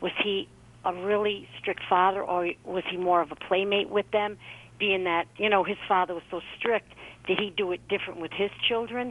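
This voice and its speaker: A woman speaks at a moderate pace in an ordinary speaking voice, her pitch sitting in the medium range. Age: 60s. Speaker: caller. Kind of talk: call-in question.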